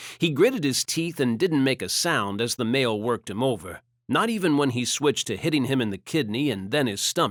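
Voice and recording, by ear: Someone reads aloud in a natural voice, the intonation lively and the background quiet.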